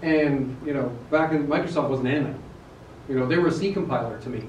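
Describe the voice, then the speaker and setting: A man talks at a very fast pace with fairly even intonation. Audible room echo and light background noise accompany him. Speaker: presenter. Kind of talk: technical talk to a live audience. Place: meeting room. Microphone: camera far.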